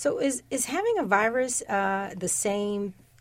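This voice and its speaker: A woman at a medium pitch, a normal speaking voice, at a fairly slow pace. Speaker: radio host. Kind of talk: news show interview. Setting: studio.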